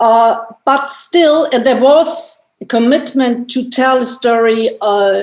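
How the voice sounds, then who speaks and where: A woman speaks in a high voice with a non-native accent. Her pitch varies in an ordinary way. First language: not English. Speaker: anthropologist and filmmaker. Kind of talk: panel discussion. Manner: halting, many repetitions and restarts.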